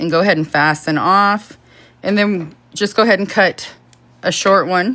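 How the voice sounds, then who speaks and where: A woman's bright, sharp voice sits at medium pitch with ordinary pitch variation. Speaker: crochet tutorial streamer. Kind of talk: live-stream tutorial. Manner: fast; casual, chatty.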